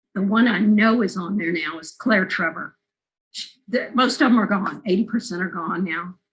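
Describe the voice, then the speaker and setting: This woman speaks in an American accent at a medium pitch with ordinary pitch variation. Vocal fry runs through her voice. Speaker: film interviewer and documentary maker. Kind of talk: oral history interview.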